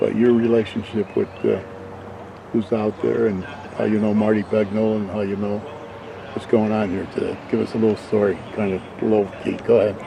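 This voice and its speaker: A quiet man with an American accent speaks at a moderate pace in a fairly low voice. His intonation is monotone and flat, and there is noticeable background noise. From Waterbury, Connecticut. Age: 80s+. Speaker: local documentary maker. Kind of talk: casual interview. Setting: outdoors in a golf cart.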